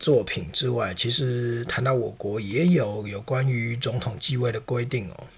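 A man talks at a fairly slow pace and a medium pitch. His pitch variation is ordinary, and there is audible room echo. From Taiwan. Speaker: podcast host. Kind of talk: political commentary monologue. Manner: conversational, frequent filler particles.

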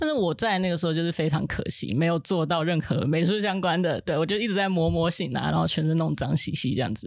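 The speaker moves at a fairly quick pace with lively intonation and vocal fry. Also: woman. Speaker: film art department assistant. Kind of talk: casual chat.

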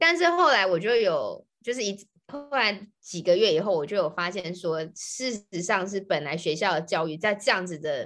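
A woman with a normal speaking voice talks at a moderate pace with hardly any pauses, her medium pitch carrying lively intonation over a quiet background. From Taiwan. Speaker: podcast co-host, Chinese tutor. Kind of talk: casual chat.

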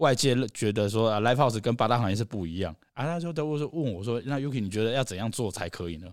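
A man with a Taiwanese accent at medium pitch and a very fast pace, in a very clean recording against a silent background. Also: lively intonation. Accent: Taiwanese Mandarin. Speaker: live music venue founder. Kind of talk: casual chat.

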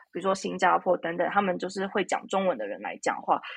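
A woman's medium-pitched voice with vocal fry. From Taiwan. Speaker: psychotherapist. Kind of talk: interview. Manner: halting, many fillers.

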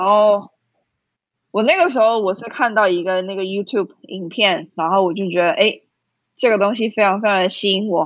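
With a Taiwanese accent, a woman talks at a medium pitch with ordinary pitch variation. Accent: Taiwanese Mandarin. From Taiwan, Kaohsiung. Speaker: skydiving instructor. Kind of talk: interview.

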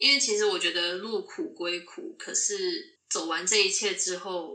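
At a moderate pace, a woman speaks in a Taiwanese accent. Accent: Taiwanese Mandarin. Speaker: nurse. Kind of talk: casual interview chat.

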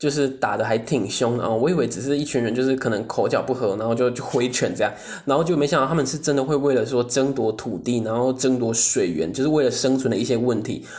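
The speech is very fast, in a Taiwanese accent, with hardly any pauses. Background noise is noticeable. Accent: Taiwanese Mandarin. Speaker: podcast co-host. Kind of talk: casual solo chat.

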